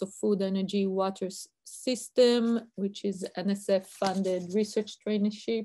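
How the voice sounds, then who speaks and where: In an Israeli accent, a woman speaks at a moderate pace and medium pitch with a dark, mellow tone. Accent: Israeli accent, noticeable. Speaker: university researcher. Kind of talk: lecture.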